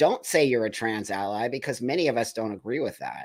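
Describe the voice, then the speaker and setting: In a very clean recording with a silent background, a man with an American accent speaks at a medium pitch and a moderate pace, with ordinary pitch variation, in a normal speaking voice. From New York. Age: 60s. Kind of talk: casual chat. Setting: live show.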